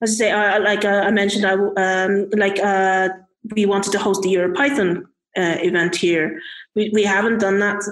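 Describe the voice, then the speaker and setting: A woman in a Dublin accent at a moderate pace, with fairly even intonation and very even loudness. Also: medium pitch for a woman. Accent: Irish (Dublin). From Ireland (Irish Chinese, Dublin). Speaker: software engineer and community organizer. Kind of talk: casual interview chat. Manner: halting, many fillers.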